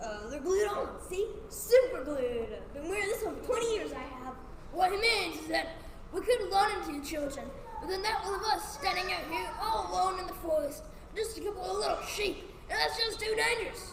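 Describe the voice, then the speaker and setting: A put-on character voice rattles along at a fairly quick pace, with clear echo and loud background noise. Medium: stage play. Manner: sly, folksy.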